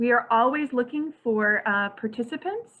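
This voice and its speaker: The woman's voice sits at a high pitch. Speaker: librarian and board chair hosting a meeting. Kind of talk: closing remarks at a virtual annual meeting. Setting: online virtual meeting. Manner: fast.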